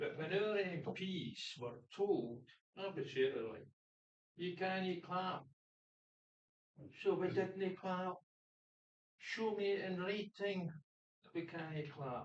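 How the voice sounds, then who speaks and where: Pausing long and often, a woman with a Scottish accent speaks at a very slow pace with ordinary pitch variation. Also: medium pitch for a woman. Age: 80s+. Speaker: audience member, retired prison governor. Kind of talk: audience question.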